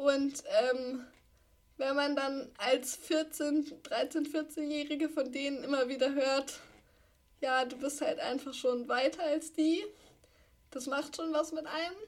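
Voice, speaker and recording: A woman speaks at a very slow pace with long, frequent pauses. Her high voice keeps a fairly even intonation. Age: 20s. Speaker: podcast co-host, wheelchair user and columnist. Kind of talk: casual chat. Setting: video call.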